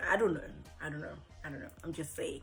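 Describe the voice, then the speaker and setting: A woman's pitch swings very widely as she speaks. Music plays in the background. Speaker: voice actor. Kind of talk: casual talk to camera.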